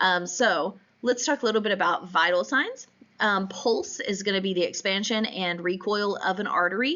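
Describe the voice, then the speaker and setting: The woman's voice sits at a medium pitch. Its pitch varies in an ordinary way. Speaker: instructor. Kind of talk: lecture. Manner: hesitant with many fillers.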